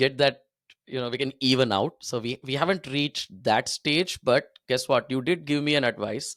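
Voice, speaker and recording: In a dry, close recording with no echo, a man with a Tamil accent speaks at a moderate pace against a silent background, the recording very clean. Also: medium pitch for a man, ordinary pitch variation. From India (Delhi, Hyderabad). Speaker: cricket podcaster. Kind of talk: casual chat.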